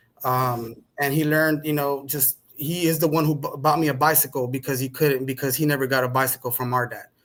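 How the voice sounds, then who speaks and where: A man's fairly high, monotone, flat voice with a Spanish accent, at a fairly quick pace with hardly any pauses, in a very clean recording with a silent background. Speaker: podcast guest. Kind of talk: conversational interview.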